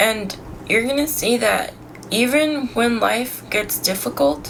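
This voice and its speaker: Amid audible room echo and noticeable background noise, a woman with a fairly high pitch speaks very slowly with lively intonation and very even loudness. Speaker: sobriety vlogger. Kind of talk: casual vlog monologue. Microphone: poor audio quality.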